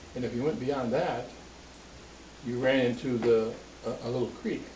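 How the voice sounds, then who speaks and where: A man with a medium pitch is heard through audible room echo and noticeable background noise. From Springfield, Ohio. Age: 80s+. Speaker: family elder interviewed about his life. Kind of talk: oral history interview. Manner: halting, with many fillers.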